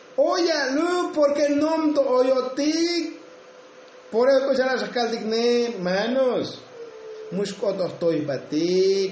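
A man talks at a very slow pace in an extremely high pitch, with very wide pitch swings. Noticeable background noise and audible room echo are present. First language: Tsotsil (speaking Spanish). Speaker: preacher. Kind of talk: sermon.

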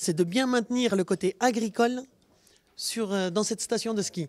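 Speaking at a moderate pace, a woman of medium pitch uses ordinary pitch variation. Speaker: dairy farmer. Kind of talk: casual interview.

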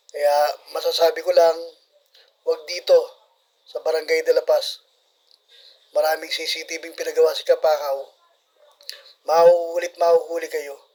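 Pausing long and often, a man talks at a fairly slow pace. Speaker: barangay official narrating CCTV footage. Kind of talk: video commentary.

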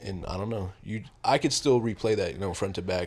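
A man speaks with a slightly husky edge. His intonation stays fairly even.

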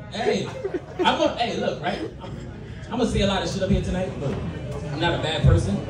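The speech moves at a fairly quick pace broken by long, frequent pauses, with audible room echo and noticeable background noise. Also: man. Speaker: stand-up comedian. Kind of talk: stand-up comedy set, crude raunchy jokes to a live club crowd. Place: bar. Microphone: camera far.

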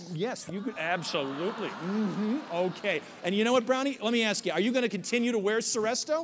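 Over noticeable background noise, a man with a high voice talks very fast in an animated, upbeat tone with lively intonation. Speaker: corporate comedian and emcee. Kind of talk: stand-up emcee act with audience banter and a scripted product pitch. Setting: stage with live audience at a conference. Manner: animated, upbeat, playful showman patter; tongue-in-cheek. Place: stage.

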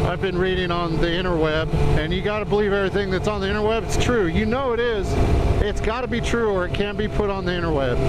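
Speech comes at a very fast pace over loud background noise, with a dry sound that has no echo. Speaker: motorcycle vlogger. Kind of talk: casual vlog chat. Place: motorbike. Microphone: helmet.

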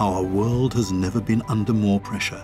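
Clear music plays in the background. Over it, a man speaks at a fairly low pitch. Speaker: voice actor. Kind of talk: documentary narration. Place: studio.

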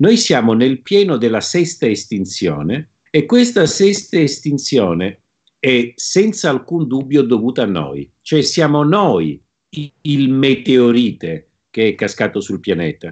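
Over a quiet background, a man talks at a very slow pace with very wide pitch swings. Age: 50s. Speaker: plant scientist and author. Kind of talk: interview. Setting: video call. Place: home room. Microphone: video call.

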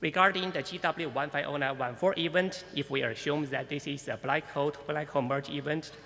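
The pace is moderate. The speaker is a man. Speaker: conference speaker. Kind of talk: lecture. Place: hall.

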